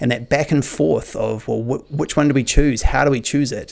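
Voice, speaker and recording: Speaking with a New Zealand accent, a man talks at a fairly quick pace with fairly even intonation. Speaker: podcast host. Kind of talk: casual interview conversation. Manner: halting, frequent repetitions.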